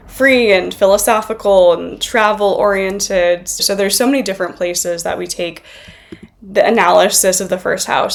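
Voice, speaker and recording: A woman keeps a moderate pace as noticeable background noise runs underneath. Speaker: astrologer. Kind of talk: educational video lecture.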